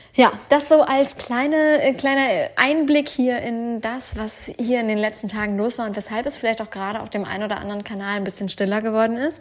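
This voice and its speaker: Speaking at a fairly quick pace with hardly any pauses, a woman with a plain, everyday voice and a fairly high pitch shows ordinary pitch variation and big swings in loudness. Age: 30s. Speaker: podcast host, online business coach. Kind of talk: casual personal monologue. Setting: at home on the couch.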